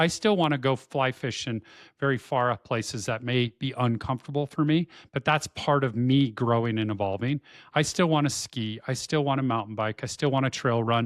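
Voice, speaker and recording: Man with an ordinary speaking voice, medium pitch, ordinary pitch variation and a fairly quick pace, dry and close with no echo on a very clean recording with a silent background. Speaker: podcast co-host. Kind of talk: casual chat.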